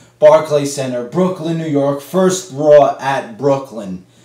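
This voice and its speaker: A man's fairly high pitch at a very slow pace, with ordinary pitch variation over noticeable background noise. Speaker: wrestling reviewer. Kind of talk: casual review vlog. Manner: tame and laid-back.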